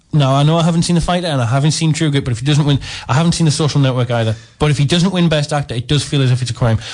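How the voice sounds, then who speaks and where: A man with a fairly high, somewhat breathy voice speaks at a very fast pace, with ordinary pitch variation and very even loudness. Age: 20s. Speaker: guest. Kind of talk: radio film review chat.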